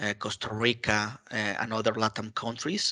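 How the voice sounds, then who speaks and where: A bright, sharp tone with a Mexican accent, at a moderate pace against a quiet background. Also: man. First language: Spanish. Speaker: IT community contributor. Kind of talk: interview. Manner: halting, many fillers.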